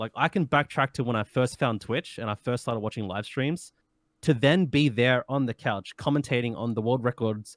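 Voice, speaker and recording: Here a man speaks in an Australian accent at a moderate pace. The recording is very clean, with a silent background. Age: 20s. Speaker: speedrunner. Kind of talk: interview.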